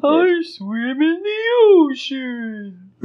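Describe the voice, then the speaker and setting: A put-on character voice is pitched high. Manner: whale-like vocalizing.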